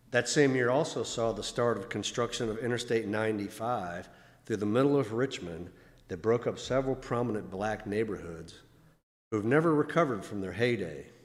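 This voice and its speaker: A man with an American accent at a fairly quick pace, in audible room echo. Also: medium pitch for a man, ordinary pitch variation. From Virginia. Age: 60s. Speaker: church member speaker. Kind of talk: talk at a Sunday service. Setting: church. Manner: formal.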